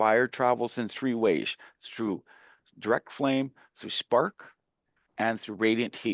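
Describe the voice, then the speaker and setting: Recorded dry and close with no echo against a quiet background, a man with a Canadian accent speaks at a medium pitch. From Canada. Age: 60s. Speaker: community leader and fire safety presenter. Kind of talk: presentation to an audience. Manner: conversational, with hesitations and restarts.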